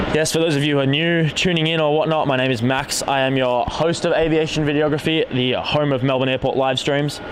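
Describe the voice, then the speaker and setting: In an Australian accent, a man with a fairly high pitch speaks in a flat monotone at very even loudness with hardly any pauses, over noticeable background noise and audible room echo. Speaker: live stream host, plane spotter. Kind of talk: live stream commentary and chat. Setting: outdoors on airport carpark roof. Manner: casual, chatty.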